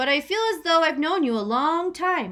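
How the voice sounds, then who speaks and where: At a moderate pace, a woman puts on a character voice at an extremely high pitch. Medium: read story.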